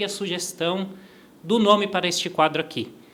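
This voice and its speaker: A man at a fairly quick pace. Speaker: podcast host. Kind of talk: interview podcast. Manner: fast.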